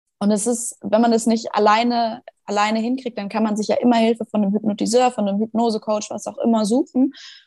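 Dry and close with no echo, a woman's fairly high, somewhat breathy voice with a dark, mellow tone moves at a fairly quick pace in a monotone, flat intonation. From Schleswig-Holstein, northern Germany. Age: 20s. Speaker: fitness trainer and hypnosis coach. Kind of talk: casual interview chat.

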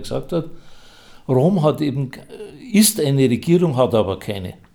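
At a medium pitch, a man speaks with lively intonation, a dark, mellow tone and vocal fry, keeping a moderate pace. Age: 80s+. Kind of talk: interview.

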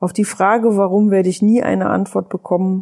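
At a medium pitch and moderate pace, a woman speaks in a dark, mellow tone with monotone, flat intonation. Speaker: podcast host, life coach. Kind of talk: personal testimony monologue. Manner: hesitant with fillers.

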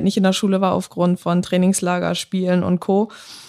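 This is a woman talking at a fairly quick pace. The recording is very clean, with a silent background. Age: 20s. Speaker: former footballer, police officer. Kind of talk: casual interview.

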